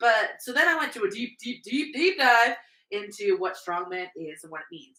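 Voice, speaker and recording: A woman speaks at a high pitch in a bright, sharp tone. Her delivery is animated, with very wide pitch swings. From Canada, New Brunswick. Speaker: strongwoman athlete and podcast co-host. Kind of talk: casual chat. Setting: indoors at home, on a couch. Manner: fast.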